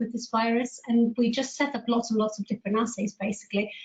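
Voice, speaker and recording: A woman speaks with a Greek accent at a fairly high pitch. Her intonation is monotone and flat. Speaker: immunologist. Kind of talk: panel talk.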